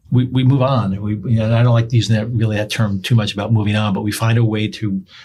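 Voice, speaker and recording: A man with an American accent talks at a very fast pace in a monotone, flat intonation. His fairly low, somewhat breathy voice has a dark, mellow tone. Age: 60s. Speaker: pastor and police chaplain. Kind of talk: casual interview.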